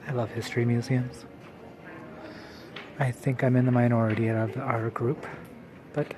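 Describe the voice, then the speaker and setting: With noticeable background noise, a man at a medium pitch speaks with long, frequent pauses. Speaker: travel vlogger. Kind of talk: casual vlog narration.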